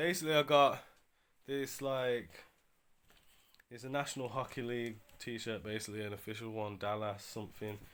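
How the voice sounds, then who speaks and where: A man with a British accent at a medium pitch, ordinary pitch variation and a moderate pace. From UK. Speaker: eBay reseller vlogger. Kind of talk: casual vlog. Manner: casual, slang-heavy.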